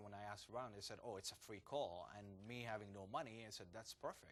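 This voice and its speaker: A man talks at a very fast pace in a fairly low pitch, his intonation fairly even. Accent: Arabic. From Jordan. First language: Arabic. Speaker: entrepreneur and former banker. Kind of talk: interview. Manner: hesitant, many fillers.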